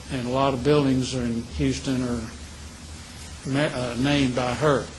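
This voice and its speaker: A man talks at a fairly slow pace with medium pitch and fairly even intonation. Noticeable background noise runs under his voice. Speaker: retired telecom executive with early memory loss. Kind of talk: interview answer. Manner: clear, determined.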